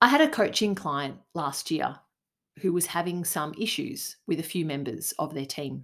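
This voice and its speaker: In an Australian accent, a woman with a fairly low pitch speaks with lively intonation on a very clean recording against a silent background. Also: moderate pace. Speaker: leadership coach and podcast host. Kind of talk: solo podcast monologue.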